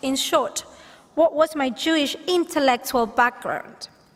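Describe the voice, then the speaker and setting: Against noticeable background noise, a woman with a Catalan accent speaks at a fairly slow pace in a high pitch with ordinary variation. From Catalonia, Spain. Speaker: rabbinical student being ordained. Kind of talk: ordination speech.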